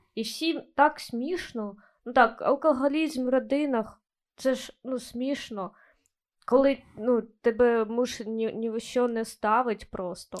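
On a very clean recording with a silent background, a woman speaks at a very slow pace in a high pitch. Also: ordinary pitch variation, big swings in loudness. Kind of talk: casual banter.

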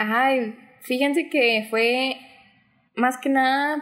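A woman's high-pitched voice. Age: 20s. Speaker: book content creator. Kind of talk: casual interview chat.

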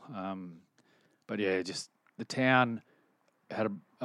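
Against a quiet background, a man with an Australian accent speaks at a fairly low pitch with fairly even intonation. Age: 40s. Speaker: rugby league coach and former player. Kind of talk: casual chat.

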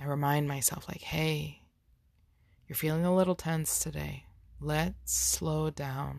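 Soft-spoken and gentle in tone, the speaker moves at a fairly slow pace with long, frequent pauses. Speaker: spiritual wellness podcaster. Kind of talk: spiritual self-help monologue. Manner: slowing, soft and gentle toward the end.

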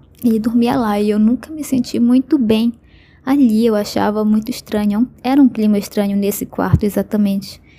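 At a moderate pace, a woman with a fairly high pitch and a dark, mellow tone speaks in a somewhat breathy voice with fairly even intonation. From Brazil, Belém do Pará. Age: 20s. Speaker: listener sharing a story. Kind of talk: personal testimony.

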